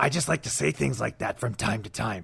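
The speaker is a man. His voice is raspy. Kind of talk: TV announcer voice.

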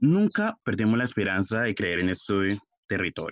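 Here a man speaks at a fairly slow pace. The sound is dry and close, with no echo. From Colombia, Puerto Tejada, Cauca. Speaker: communications student. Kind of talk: scripted narration.

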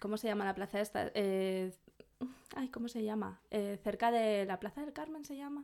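This woman has a plain, everyday voice, pitched fairly high. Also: ordinary pitch variation, moderate pace. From Burgos, Spain. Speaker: podcast co-host. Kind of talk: casual chat.

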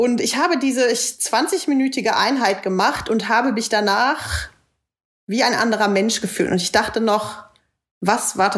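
At a moderate pace and with ordinary pitch variation, this is a normal speaking voice. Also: woman. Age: 20s. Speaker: podcast co-host, yoga teacher. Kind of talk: casual chat.

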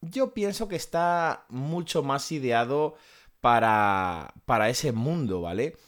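In a very clean recording with a silent background, a man talks at a very slow pace with a fairly high pitch and very wide pitch swings. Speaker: podcast host. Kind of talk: product review monologue.

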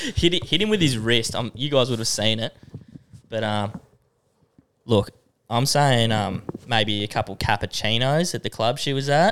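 Speaking at a moderate pace with an Australian accent, a man uses a medium pitch and ordinary pitch variation, broken by long, frequent pauses. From Australia, Tamworth NSW. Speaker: podcast co-host. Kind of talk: casual chat. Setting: studio.

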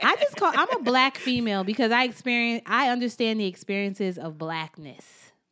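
A woman speaks with lively intonation and an animated tone at a fairly high pitch. Her pace is fairly quick, with hardly any pauses. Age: young. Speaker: car sales professional and podcaster. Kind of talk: casual chat.

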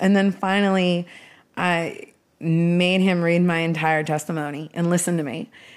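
A woman with a plain, everyday voice, fairly low pitch, fairly even intonation and moderate pace, in a very clean recording with a silent background. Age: 40s. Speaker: music executive and podcast host. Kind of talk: casual interview. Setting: guest's home.

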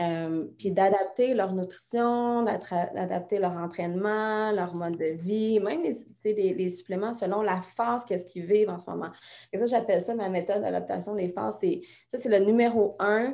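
Against a quiet background, a woman with a Quebec accent and a dark, mellow tone speaks at a fairly slow pace with fairly even intonation. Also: medium pitch for a woman. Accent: Québécois French. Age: 30s. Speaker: fitness coach. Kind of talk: interview.

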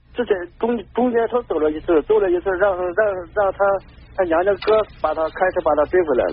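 A man with a high pitch and ordinary pitch variation, talking at a fairly quick pace broken by long, frequent pauses. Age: 40s. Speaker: caller. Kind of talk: call-in advice. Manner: halting.

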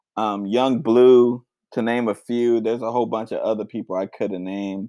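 A man with an unremarkable speaking voice talks at medium pitch with fairly even intonation. The recording is very clean, with a silent background and a dry, close sound with no echo. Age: 20s. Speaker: music podcast host. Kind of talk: casual solo podcast talk.

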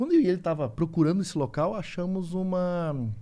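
Here a man with a high pitch speaks at a moderate pace with ordinary pitch variation. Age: 40s. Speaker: survival instructor, YouTuber. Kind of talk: casual chat.

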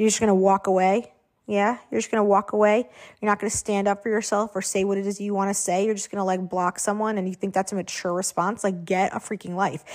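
On a very clean recording with a silent background, the woman talks at a very fast pace. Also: medium pitch for a woman. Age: 30s. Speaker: podcast host. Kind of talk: solo monologue. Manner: casual with frequent fillers; animated.

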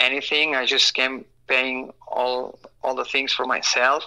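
At a very slow pace, the voice comes across with a bright, sharp tone in a Spanish accent. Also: man. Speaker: supercross racer. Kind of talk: casual interview. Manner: halting, many fillers and repeats.

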